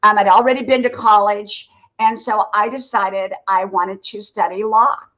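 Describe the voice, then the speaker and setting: Talking at a moderate pace, a woman with an unremarkable speaking voice and fairly high pitch keeps her intonation fairly even. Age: 60s. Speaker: content creator and former nurse. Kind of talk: livestream interview, casual chat.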